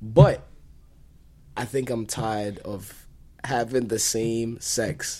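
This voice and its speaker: In a dark, mellow tone, a man speaks very slowly with long, frequent pauses and big swings in loudness. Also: medium pitch for a man. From Kenya. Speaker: podcast co-host. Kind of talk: casual chat.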